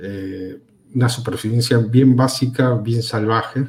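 At a fairly slow pace, a man speaks in a medium pitch. His voice is somewhat breathy, with a dark, mellow tone. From Peru. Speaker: communication graduate and film critic. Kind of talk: casual interview chat. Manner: halting, many repetitions.

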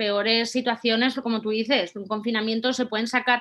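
A woman talks with fairly high pitch at a moderate pace. Her intonation stays fairly even. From Spain, Valencia. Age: 30s. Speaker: content creator and office worker. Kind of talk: interview.

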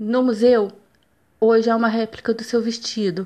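A woman's flat, monotone delivery at a moderate pace. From Brazil, Minas Gerais (Juiz de Fora). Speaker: university student. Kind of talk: student presentation, scripted narration.

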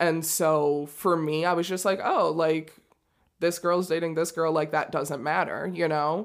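A woman speaks in a fairly low voice with monotone, flat intonation. Her pace is fairly slow and her loudness stays very even. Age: 20s. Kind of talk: casual interview conversation. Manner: hesitant, many fillers.

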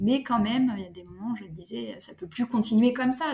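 A woman talks at a fairly quick clip while music plays in the background. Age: 30s. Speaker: sophrologist, single mother. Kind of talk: casual interview.

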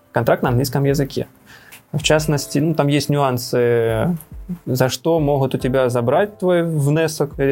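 A man with a plain, everyday voice, a fairly high pitch, fairly even intonation and a moderate pace. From Donetsk, eastern Ukraine. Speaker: emigrant, former factory director. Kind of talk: interview.

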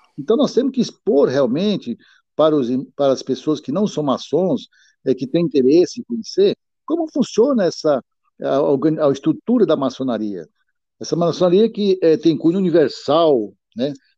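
A man's dark, mellow tone, fairly high in pitch with very wide pitch swings, at a moderate pace over a quiet background. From Brazil, Piauí (Northeast). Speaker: freemason, president of a masonic letters academy. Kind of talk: interview about freemasonry administration. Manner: hesitant, many filler sounds.

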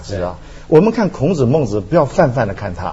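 A man talks at a fairly quick clip, his pitch swinging very widely, with noticeable background noise. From Taiwan. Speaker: philosophy professor. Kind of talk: talk show discussion.

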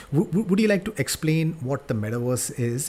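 Amid noticeable background noise, a man with a fairly high pitch uses lively intonation at a moderate pace. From India. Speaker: podcast host. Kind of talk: interview. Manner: halting, repeats words.

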